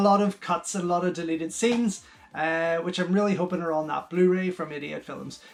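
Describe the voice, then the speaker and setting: A man speaks with a Northern Irish accent. His voice sits high in pitch. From Northern Ireland. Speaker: film reviewer. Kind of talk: casual review monologue. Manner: hesitant, many fillers.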